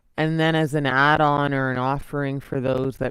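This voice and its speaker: Over noticeable background noise, a woman speaks in a very deep, low pitch with monotone, flat intonation. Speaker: yoga teacher. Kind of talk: guided yoga class. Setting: live online class. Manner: slow; soft-spoken.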